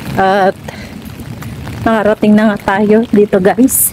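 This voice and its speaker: A woman talks at a medium pitch with fairly even intonation, noticeable background noise beneath her. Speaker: vlogger, overseas worker. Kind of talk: vlog. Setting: walking around a school. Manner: soft-spoken.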